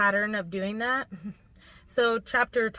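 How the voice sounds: A natural reading voice is heard, its intonation holding fairly even.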